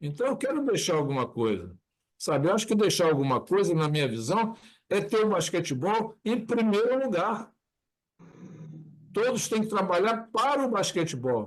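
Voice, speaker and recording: A high-pitched male voice at a moderate pace, with very wide pitch swings, very even loudness and long, frequent pauses. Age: 70s. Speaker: basketball show host. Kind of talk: casual chat.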